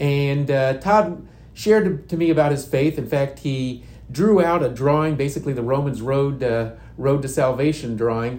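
A man with an American accent talks at a moderate pace, his fairly high pitch showing ordinary variation amid audible room echo. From Indiana. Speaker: youth and outreach minister. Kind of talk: testimony.

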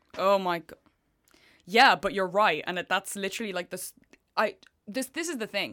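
A woman with a bright, sharp, animated tone speaks at a medium pitch and moderate pace, with ordinary pitch variation and long, frequent pauses. The recording is very clean, with a silent background. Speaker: student radio podcast host. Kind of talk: casual chat.

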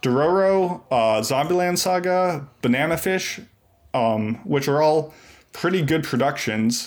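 A man with an American accent speaks in an ordinary speaking voice, pitched fairly high for a man, with lively intonation. His pace is fairly slow and his loudness very even, on a very clean recording with a silent background. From US Northeast. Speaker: community member and podcast guest. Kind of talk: casual chat.

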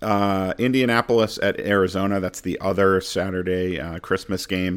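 A man with an ordinary speaking voice, fairly low in pitch, at a moderate pace with fairly even intonation and hardly any pauses, on a very clean recording with a silent background. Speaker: fantasy football host. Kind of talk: casual podcast banter and game previews. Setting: studio podcast.

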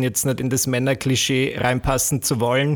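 In an Austrian accent, a man speaks at a moderate pace with a medium pitch. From Austria, rural village. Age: 20s. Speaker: YouTuber and entertainer. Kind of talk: casual chat.

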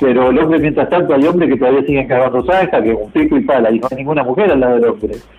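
A man with a fairly high voice talks at a very fast pace, with hardly any pauses and very even loudness. His pitch variation is ordinary, and there is noticeable background noise. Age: 60s. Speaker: transport worker, truck and bus driver. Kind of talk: interview, casual chat.

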